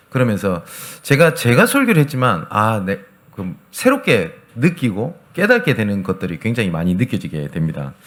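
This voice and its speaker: At a moderate pace, a man with a medium pitch and vocal fry talks with very wide pitch swings. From Gyeongsang region, South Korea. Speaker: pastor. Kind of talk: sermon.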